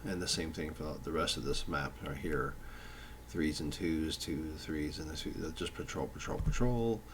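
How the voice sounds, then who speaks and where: With vocal fry and a very deep, low pitch, a man speaks at a moderate pace with ordinary pitch variation, and audible room echo surrounds him. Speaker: tabletop game designer. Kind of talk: tutorial. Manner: slurred speech; halting, many fillers.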